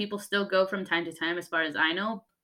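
Fairly quick speech from a woman with an American accent, medium pitch, and a bright, sharp tone. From Utah. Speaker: podcast host. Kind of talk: casual chat.

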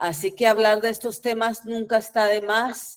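This woman talks at a medium pitch. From Guatemala. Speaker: performance artist and poet. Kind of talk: presentation of own work.

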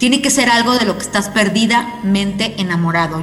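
Amid noticeable background noise and audible room echo, a woman with a Mexican accent speaks in an animated tone at a moderate pace, with ordinary pitch variation. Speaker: radio host. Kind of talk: casual interview.

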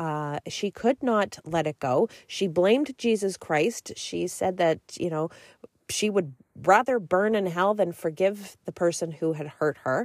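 In a normal speaking voice, a woman talks fairly slowly at medium pitch with lively intonation, the sound dry and close with no echo. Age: 40s. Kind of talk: solo faith podcast monologue and testimony.

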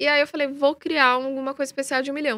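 Very fast, raised, projected speech in a bright, sharp tone, on a very clean recording with a silent background. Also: woman. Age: 30s. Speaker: freestyle football influencer. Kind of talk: live interview. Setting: live stream.

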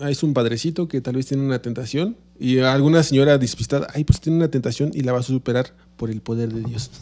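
A dark, mellow tone with a Mexican accent, a very fast pace and fairly even intonation. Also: man, medium pitch for a man. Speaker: podcast co-host. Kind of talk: casual chat.

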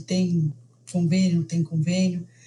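Somewhat breathy and fairly low, this woman's voice has a dark, mellow tone and fairly even intonation. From Brazil. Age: 40s. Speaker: mother sharing birth story. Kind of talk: interview testimony.

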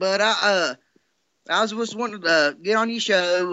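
This man's pace is fairly quick. He talks in a Southern US accent. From US South. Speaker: caller. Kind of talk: casual chat. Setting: video call.

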